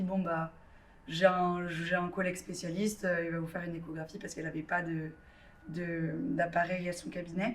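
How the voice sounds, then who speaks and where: There is audible room echo around a woman speaking at a medium pitch. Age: 20s. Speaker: drama student with endometriosis. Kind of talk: testimony. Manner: hesitant, many fillers.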